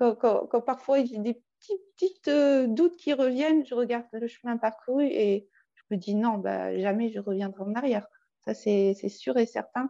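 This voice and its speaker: Her voice is fairly high for a woman, with ordinary pitch variation. She speaks at a fairly slow pace with big swings in loudness. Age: 40s. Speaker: coaching client with eating disorder history. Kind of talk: testimony. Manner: halting.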